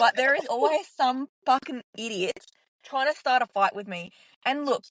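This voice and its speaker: Loud and high-pitched, a woman talks with lively intonation. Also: moderate pace, dry, close sound with no echo. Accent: Australian. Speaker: podcast co-host. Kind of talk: casual chat.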